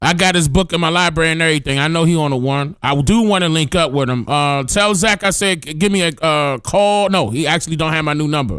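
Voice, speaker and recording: A man's very fast speech with hardly any pauses, over music in the background. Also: fairly high pitch for a man, ordinary pitch variation. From Washington DC, US. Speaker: livestream host. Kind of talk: casual chat. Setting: livestream.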